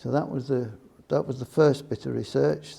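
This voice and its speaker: A man speaks with an English Midlands accent. His medium pitch has a dark, mellow tone. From England, Nottingham. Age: 70s. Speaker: retired computing industry professional. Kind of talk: oral history interview. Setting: museum.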